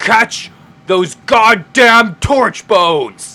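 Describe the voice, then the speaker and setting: A booming, growling put-on character voice comes through at a fairly high pitch. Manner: commanding, shouting.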